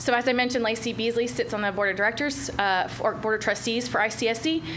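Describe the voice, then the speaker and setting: A fairly high-pitched woman at a fairly quick pace, amid noticeable background noise. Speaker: retail recruitment consultant. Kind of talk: business presentation. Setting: county commission meeting. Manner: fast.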